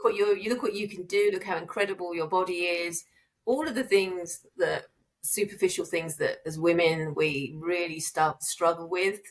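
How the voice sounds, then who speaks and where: The woman's medium-pitched voice moves at a moderate pace with ordinary pitch variation. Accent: British. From UK. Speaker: therapist and business owner. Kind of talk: podcast interview.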